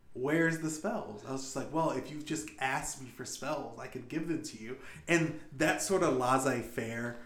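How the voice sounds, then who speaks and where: Ordinary pitch variation and a fairly slow pace in an ordinary speaking voice. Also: man. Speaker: game master and podcast host. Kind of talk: casual podcast discussion.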